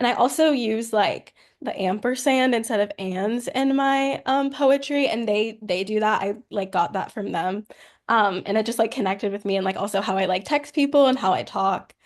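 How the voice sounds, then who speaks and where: A woman with a plain, everyday voice speaks at a fairly high pitch, keeping a moderate pace and ordinary pitch variation. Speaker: poet. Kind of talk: interview.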